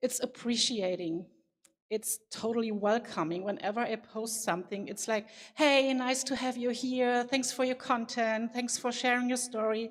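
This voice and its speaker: Fairly high in pitch, a woman speaks with a non-native accent. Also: fairly even intonation, moderate pace. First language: not English. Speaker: conference speaker. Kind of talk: keynote talk. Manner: halting.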